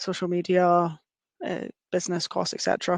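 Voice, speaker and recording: Over a quiet background, a woman with a Scottish accent and a fairly low pitch talks at a fairly quick pace in a dry, close sound with no echo. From Scotland. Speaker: engineering graduate. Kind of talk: webinar presentation.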